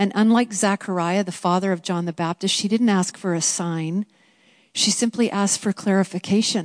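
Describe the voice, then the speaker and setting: In a normal speaking voice, a woman talks at a moderate pace with a medium pitch and fairly even intonation, her sound dry and close with no echo over a quiet background. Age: 50s. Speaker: women's Bible study teacher. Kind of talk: teaching talk.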